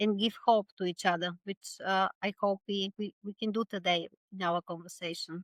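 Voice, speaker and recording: A woman at medium pitch with a Bulgarian accent, monotone and flat, at a moderate pace, in a dry, close sound with no echo. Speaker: author and speaker. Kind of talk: podcast interview. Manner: halting.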